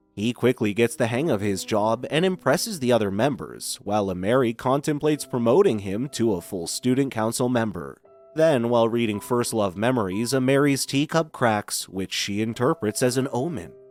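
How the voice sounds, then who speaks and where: With music in the background, a man at a medium pitch speaks at a moderate pace with lively intonation and hardly any pauses. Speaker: voice actor. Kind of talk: anime recap narration.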